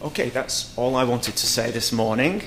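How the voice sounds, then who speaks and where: A medium-pitched man with a British accent at a fairly slow pace, amid noticeable background noise and audible room echo. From Britain. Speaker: research centre director, conference chair. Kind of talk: conference opening remarks. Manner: halting, many fillers.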